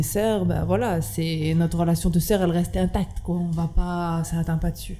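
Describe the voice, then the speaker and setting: A woman's voice is heard over noticeable background noise. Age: 20s. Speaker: restaurant owner. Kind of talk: casual interview.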